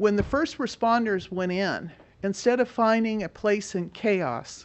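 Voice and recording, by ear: Fairly even in intonation, a woman speaks at medium pitch and a fairly slow pace.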